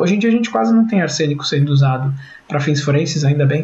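Against noticeable background noise and audible room echo, a man speaks at fairly high pitch. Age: 30s. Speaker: podcast host, forensic scientist. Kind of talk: casual science podcast chat.

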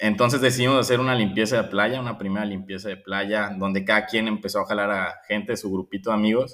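A man speaks very fast at a fairly low pitch with monotone, flat intonation. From Guadalajara, Mexico. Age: 20s. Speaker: environmental volunteer, engineer. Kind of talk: interview testimony. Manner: hesitant, repeats words.

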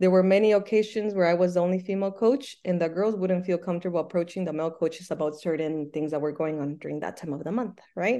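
A woman with a Spanish accent, medium pitch and dark, mellow tone, at a very fast pace against a quiet background. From Michoacán, Mexico. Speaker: soccer coach and Spanish teacher. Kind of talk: casual interview.

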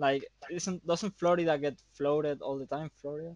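Against a quiet background, a man talks at a moderate pace. His pitch is fairly high, and the sound is dry and close with no echo. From Canary Islands, Spain. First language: Spanish. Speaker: photographer and filmmaker. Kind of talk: casual chat. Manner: halting.

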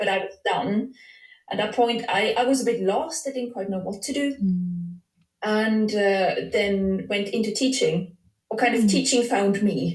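Her pitch is fairly high, with ordinary variation, and she sounds somewhat breathy. The woman keeps to a fairly slow pace. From Switzerland. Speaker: dance psychology PhD researcher. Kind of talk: casual interview. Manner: hesitant, with many fillers.

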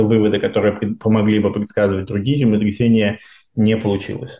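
The man's voice is fairly low in pitch and dark and mellow in tone, with fairly even intonation at a moderate pace. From Russia, Moscow region. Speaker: seismology researcher. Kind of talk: casual interview.

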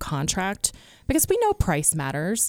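A woman with an American accent and a normal speaking voice talks at a moderate pace in a fairly low pitch. The recording is very clean, with a silent background. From US East Coast. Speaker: real estate agent. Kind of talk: radio interview, conversational. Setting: radio studio.

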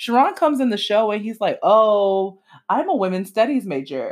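On a very clean recording with a silent background, a woman with a fairly high pitch and vocal fry speaks in an animated tone at a moderate pace. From Miami, Florida. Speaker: podcast host. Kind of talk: casual solo commentary.

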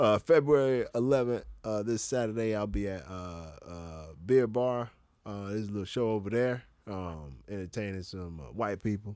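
Dark and mellow in tone, a man with an American accent shows ordinary pitch variation and big swings in loudness. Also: fairly low pitch for a man, moderate pace. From Florida, US. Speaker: stand-up comedian. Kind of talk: casual chat. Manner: laid-back, slangy.

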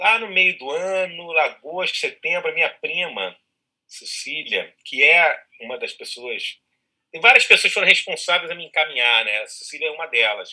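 At a moderate pace, a man speaks with high pitch and a bright, sharp tone. His intonation is lively and his loudness swings widely. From Rio de Janeiro, Ilha do Governador. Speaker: actor. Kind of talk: casual chat.

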